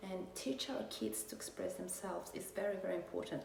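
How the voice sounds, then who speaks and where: A woman with a fairly low voice talks in a room with audible echo. Noticeable background noise runs underneath. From Mexico. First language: Spanish. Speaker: vlogger. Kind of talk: personal testimony. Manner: halting, many fillers.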